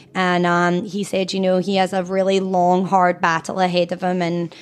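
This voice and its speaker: In a Scottish accent, a woman speaks at a moderate pace and medium pitch with monotone, flat intonation on a very clean recording with a silent background. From Scotland. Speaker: cancer charity founder and mother. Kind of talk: casual interview.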